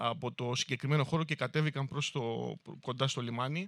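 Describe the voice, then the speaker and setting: A man's fairly high voice at a moderate pace, with fairly even intonation and a dry, close sound with no echo. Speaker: town mayor. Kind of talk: public speech about local history. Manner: hesitant, many fillers.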